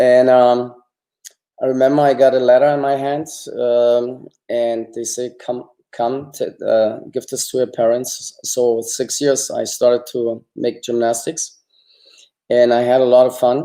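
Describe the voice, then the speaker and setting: Speaking at a fairly slow pace in a German accent, a man has a medium pitch, a dark, mellow tone and monotone, flat intonation. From East Germany. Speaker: former Olympic gymnast. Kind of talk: interview.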